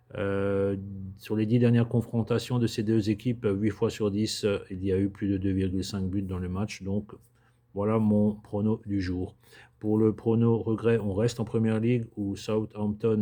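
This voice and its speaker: A man's fairly low, dark, mellow voice, monotone and flat, at a fairly slow pace over a quiet background. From Alsace, France. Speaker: sports betting tipster. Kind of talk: casual tutorial-style monologue. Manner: hesitant, many filler sounds.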